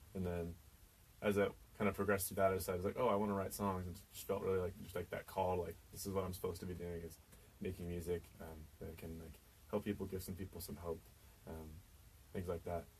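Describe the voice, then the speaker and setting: A man with an American accent talks very fast in a very deep, low, somewhat breathy voice. His intonation stays monotone and flat while his loudness swings widely. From Kansas, US. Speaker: singer-songwriter. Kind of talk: radio interview. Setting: radio studio.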